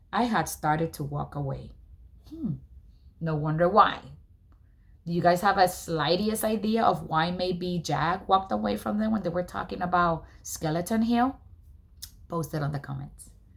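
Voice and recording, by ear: A woman speaks fairly slowly at a fairly low pitch. Vocal fry runs through her voice, with ordinary pitch variation.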